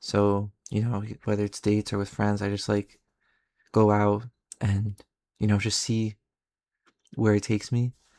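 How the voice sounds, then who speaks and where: In a dry, close recording with no echo, a man with a fairly low pitch speaks quietly at a moderate pace in a flat monotone, leaving long, frequent pauses. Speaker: vlogger. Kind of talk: casual storytelling.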